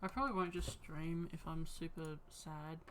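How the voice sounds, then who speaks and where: A woman speaks quietly at a fairly low pitch. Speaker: streamer. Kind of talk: casual chat. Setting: live stream. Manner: not very enthusiastic-sounding.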